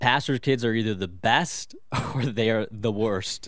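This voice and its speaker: At a fairly slow pace, a man speaks in a normal speaking voice at medium pitch with ordinary pitch variation. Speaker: pastor. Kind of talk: radio interview about fatherhood.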